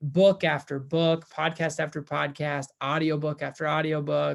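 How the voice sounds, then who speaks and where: In a very clean recording with a silent background, a man with an American accent speaks at a fairly high pitch. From US Midwest, central Minnesota. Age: 20s. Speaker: first-time real estate investor. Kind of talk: personal testimonial vlog. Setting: at home. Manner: casual with fillers and repetitions.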